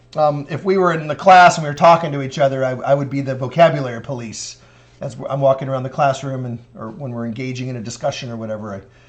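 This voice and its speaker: Talking at a very fast pace, a man with fairly high pitch is heard through audible room echo and noticeable background noise. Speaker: math professor. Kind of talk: lecture.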